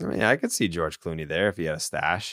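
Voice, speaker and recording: On a very clean recording with a silent background, a man's voice comes through dry and close, with no echo. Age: 30s. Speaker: sports podcast host. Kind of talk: casual chat. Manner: animated.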